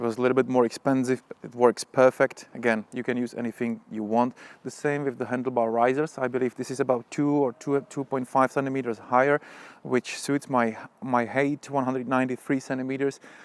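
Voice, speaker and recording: The sound is dry and close with no echo. A man with a Czech accent talks at a fairly quick pace in a monotone, flat intonation. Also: medium pitch for a man. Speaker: motorcycle vlogger. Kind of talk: product review tutorial. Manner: halting.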